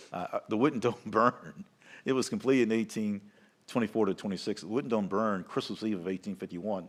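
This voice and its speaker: Recorded very clean with a silent background, a man talks at a very fast pace in a Southern US accent. His pitch is fairly low, with ordinary variation. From US South. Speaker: capitol tour guide. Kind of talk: live event commentary.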